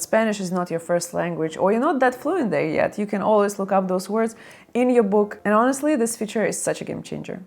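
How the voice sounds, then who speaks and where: A woman speaks with a non-native accent and lively intonation. Her pitch sits fairly high. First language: not English. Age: 30s. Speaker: lifestyle vlogger. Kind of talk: casual vlog talk. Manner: conversational.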